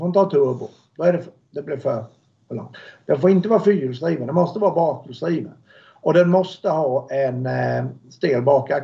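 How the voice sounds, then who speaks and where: Somewhat breathy and dark, mellow in tone, a man talks fairly quickly at a fairly high pitch with ordinary pitch variation and big swings in loudness. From Sweden, Småland (Alvesta). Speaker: car builder, motorsport company owner. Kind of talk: interview.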